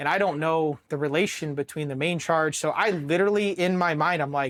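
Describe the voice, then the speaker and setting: A man in an American accent talks fairly high, his pitch varying in an ordinary way. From Worthington, Ohio (Columbus suburb). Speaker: Marine veteran, explosive ordnance disposal technician. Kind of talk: interview answer. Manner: casual, profane storytelling.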